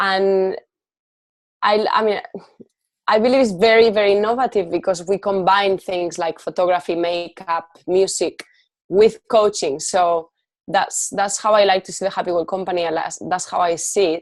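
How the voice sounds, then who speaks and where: A woman with a Spanish accent talks at a moderate pace and medium pitch. Her intonation stays fairly even against a quiet background. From Spain. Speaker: life coach and entrepreneur. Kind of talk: podcast interview.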